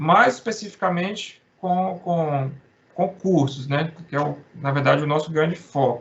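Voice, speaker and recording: A man's fairly high voice at a moderate pace. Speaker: accountant presenting to copywriter colleagues. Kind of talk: informal presentation. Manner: halting, many false starts.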